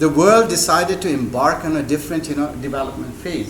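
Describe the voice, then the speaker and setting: Lively intonation marks a man talking at a fairly quick pace amid noticeable background noise and audible room echo. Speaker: invited speaker, hydrosystems engineer. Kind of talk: speech to an audience. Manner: halting, many fillers.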